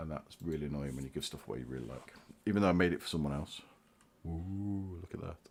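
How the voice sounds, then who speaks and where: With a British accent, a man speaks very fast in a very deep, low pitch with lively intonation. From Britain. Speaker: hobbyist YouTuber. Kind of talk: casual livestream show-and-tell.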